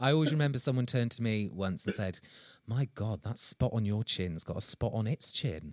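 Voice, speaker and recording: A man with an English accent at medium pitch and a fairly quick pace, lively in intonation, in dry, close sound with no echo. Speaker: podcast host, author and actor. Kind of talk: casual chat.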